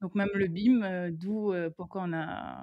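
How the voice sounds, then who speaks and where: A woman speaks with a Réunion accent at a fairly low pitch. Her voice sounds dry and close, with no echo. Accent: Réunion French accent, dropped R's. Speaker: construction engineer and BIM manager. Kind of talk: interview. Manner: hesitant, many fillers.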